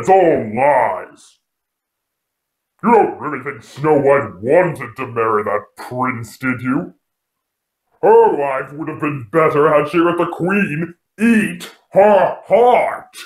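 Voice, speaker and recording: A put-on character voice talks very slowly, with long, frequent pauses. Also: man, fairly high pitch for a man. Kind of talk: horror host introduction. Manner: sardonic, mocking, menacing.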